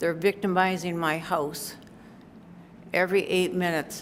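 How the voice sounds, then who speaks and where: A woman speaks at a fairly low pitch in a flat monotone. Audible room echo is present. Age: 80s+. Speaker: resident speaking at public comment. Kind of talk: public comment at council meeting. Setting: city council meeting room. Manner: halting, emotional.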